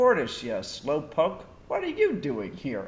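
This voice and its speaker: Slowing to a fairly slow pace, a man performs a put-on character voice pitched fairly high. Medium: read story. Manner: cocky, excited.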